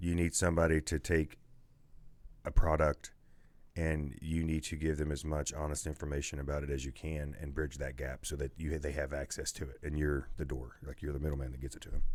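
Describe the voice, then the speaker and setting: Very deep, low male pitch, monotone and flat, at a fairly quick pace. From Man, West Virginia. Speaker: podcast host, salesman. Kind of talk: casual podcast interview answer.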